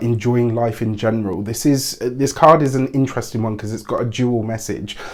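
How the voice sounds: At a moderate pace, a man speaks at medium pitch with a slightly mellow tone and fairly even intonation.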